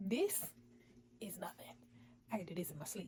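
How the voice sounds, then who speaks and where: This woman has a dark, mellow tone and sounds somewhat breathy. Her pitch variation is ordinary. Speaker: vlogger. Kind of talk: personal vlog. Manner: casual.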